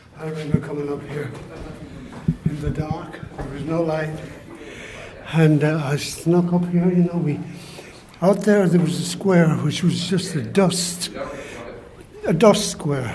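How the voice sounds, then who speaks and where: A man with an Irish accent, fairly high-pitched, fairly slow, with fairly even intonation, long and frequent pauses, audible room echo and noticeable background noise. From Ireland. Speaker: writer. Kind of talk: casual chat. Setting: outdoors.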